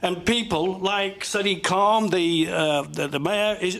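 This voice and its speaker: In a Cumbrian accent, the speaker goes at a fairly slow pace over noticeable background noise. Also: man. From northern England, Kendal, Cumbria. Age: 70s. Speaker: army veteran, audience member. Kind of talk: heated debate. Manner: animated; halting.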